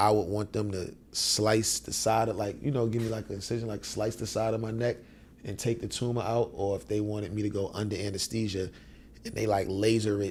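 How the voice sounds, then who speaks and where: A man speaks at a fairly quick pace. His pitch is fairly low, and his voice is somewhat breathy. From Harlem, New York City. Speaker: rapper. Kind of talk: casual interview chat. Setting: studio. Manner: animated.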